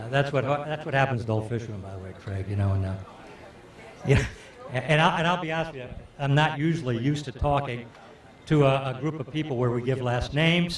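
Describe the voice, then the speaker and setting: A man with an American accent talks at a very fast pace, with long, frequent pauses and big swings in loudness. His medium pitch varies in an ordinary way, and there is noticeable background noise and audible room echo. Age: 60s. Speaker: fishing guide. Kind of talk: storytelling to audience. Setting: stage with audience. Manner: halting, many fillers.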